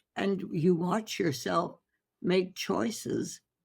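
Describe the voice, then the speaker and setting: A woman talks at a very slow pace, with vocal fry in her voice. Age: 80s+. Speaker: holistic physician. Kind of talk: interview answer.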